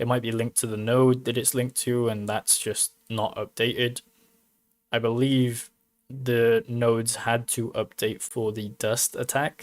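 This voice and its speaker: A man with a British accent speaks in a flat monotone at a medium pitch and fairly slow pace, the sound dry and close with no echo in a very clean recording with a silent background. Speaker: crypto mining YouTuber. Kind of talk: casual livestream commentary. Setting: live stream.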